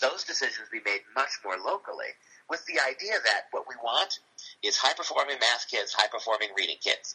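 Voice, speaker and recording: With a Cleveland accent, a man talks at a moderate pace in a dry, close sound with no echo. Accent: Midwestern American (Cleveland). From Ohio, Cleveland. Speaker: English professor. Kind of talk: interview.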